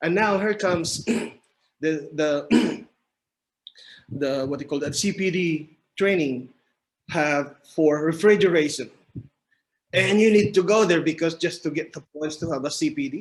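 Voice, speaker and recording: A man with a Filipino accent speaks at a fairly slow pace, his pitch fairly high and varying in an ordinary way. Long pauses come often. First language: Filipino language. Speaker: mechanical engineer. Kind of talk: podcast interview. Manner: halting.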